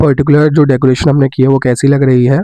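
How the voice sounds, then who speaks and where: Against noticeable background noise, a man with a fairly high pitch speaks at a fairly quick pace. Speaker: devotional vlogger. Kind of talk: vlog narration.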